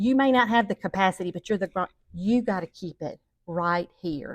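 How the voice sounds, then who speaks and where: In a Southern US accent, a woman talks at a moderate pace and a fairly low pitch with ordinary pitch variation, the sound dry and close with no echo. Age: 60s. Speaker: parenting teacher. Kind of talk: lecture.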